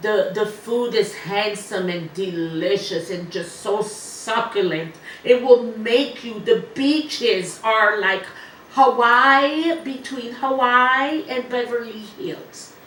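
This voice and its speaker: A woman with a fairly high pitch talks at a very slow pace, her intonation lively and her loudness swinging widely. Room echo is audible, and there is noticeable background noise. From Ivory Coast. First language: French. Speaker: medium and musician. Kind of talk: interview.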